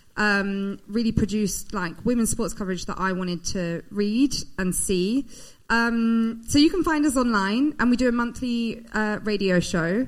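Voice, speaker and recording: A woman with a British accent speaks at a fairly slow pace in a fairly high pitch. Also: ordinary pitch variation. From Britain. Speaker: women's sport platform founder. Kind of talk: live show introduction. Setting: stage with audience.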